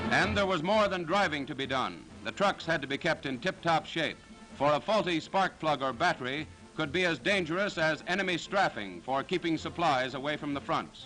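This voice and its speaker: A man's fairly high-pitched voice at a moderate pace with ordinary pitch variation, music in the background. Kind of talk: World War II newsreel narration. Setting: vintage newsreel recording. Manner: authoritative, brisk.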